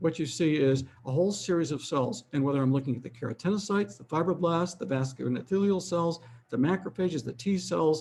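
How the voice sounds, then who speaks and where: A man talks very fast in a fairly high, somewhat breathy voice. His intonation is lively. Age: 70s. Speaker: physician and aging researcher. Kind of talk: lecture. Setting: webinar.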